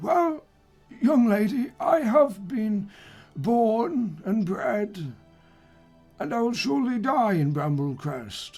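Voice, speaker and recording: In a put-on character voice that is raspy and fairly high-pitched, the speaker moves very slowly with long, frequent pauses and very wide pitch swings over faint background music. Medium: actual play. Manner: slow, rambling, hesitant.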